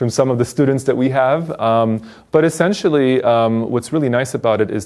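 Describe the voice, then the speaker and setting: Over a silent background in a very clean recording, a man speaks with a Polish accent. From Poland. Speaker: teacher. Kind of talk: interview.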